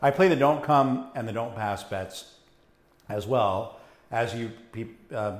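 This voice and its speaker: A man speaks loudly, with audible room echo. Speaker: casino gambling streamer. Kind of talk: live stream chat. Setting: live stream.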